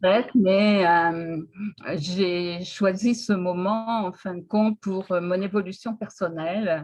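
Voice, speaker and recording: A woman speaks at a medium pitch with fairly even intonation. Her pace is very slow. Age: 70s. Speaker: retiree interviewed about personal development. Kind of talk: interview. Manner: hesitant.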